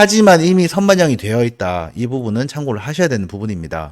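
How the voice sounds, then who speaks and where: With a slight Busan accent, a man speaks while his pitch swings very widely. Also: very clean recording, silent background. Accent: slight Busan (Gyeongsang) dialect. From South Korea, Busan. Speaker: real estate agent. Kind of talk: video presentation on land investment. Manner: casual, frequent fillers.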